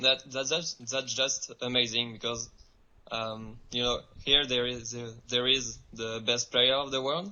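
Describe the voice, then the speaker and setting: A man with a French accent speaks at a fairly slow pace. His medium-pitched voice keeps a fairly even intonation. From France. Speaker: professional ultimate frisbee player. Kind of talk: remote interview. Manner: halting.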